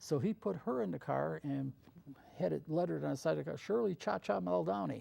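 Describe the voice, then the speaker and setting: Medium in pitch but with very wide pitch swings, a man with an American accent speaks at a fairly quick pace in a dark, mellow tone, his loudness very even. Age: 70s. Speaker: TV show producer and host. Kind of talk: interview.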